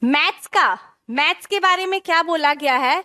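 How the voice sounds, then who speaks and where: A woman's extremely high, bright, sharp voice with ordinary pitch variation, dry and close with no echo. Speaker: teacher. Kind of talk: online class lecture. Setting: live online class.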